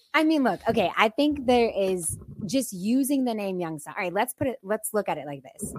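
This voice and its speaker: An ordinary speaking voice comes from a woman with an American accent, her intonation lively. The sound is dry and close, with no echo. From Boardman, Ohio. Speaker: urban planning consultant. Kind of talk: casual chat.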